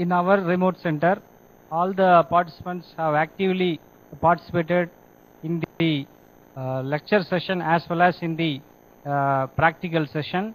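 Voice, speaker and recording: The talk runs at a moderate pace, broken by long, frequent pauses. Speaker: remote center coordinator. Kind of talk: feedback and questions. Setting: video link from remote center. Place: hall. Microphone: video call.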